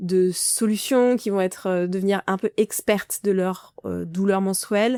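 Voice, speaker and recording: A woman talks at a moderate pace and medium pitch with monotone, flat intonation, in a dry, close sound with no echo. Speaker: podcast host, menstrual pain coach. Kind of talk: solo podcast monologue. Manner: hesitant, many fillers.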